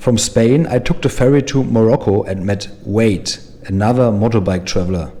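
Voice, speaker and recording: A man with a German accent, medium pitch, ordinary pitch variation and a moderate pace. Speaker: motorcycle travel vlogger. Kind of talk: vlog intro monologue. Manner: animated.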